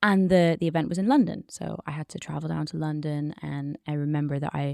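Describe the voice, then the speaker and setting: In a dry, close sound with no echo, a woman with an Oxford accent speaks at a moderate pace. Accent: British (Oxford). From United Kingdom (Oxford). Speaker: business English podcast host. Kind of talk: personal story told in interview.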